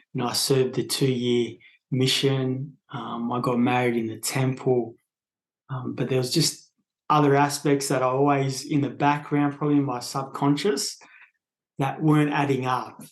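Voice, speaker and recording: Here a man with an Australian accent speaks at a moderate pace and medium pitch, his intonation fairly even. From Australia, northern New South Wales. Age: 30s. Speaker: podcast guest sharing spiritual experience. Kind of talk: casual interview conversation. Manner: hesitant, many fillers.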